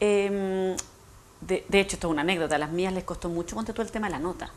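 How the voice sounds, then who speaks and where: A woman of medium pitch races along at a very fast pace. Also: ordinary pitch variation. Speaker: education specialist. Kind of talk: TV interview. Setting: TV studio.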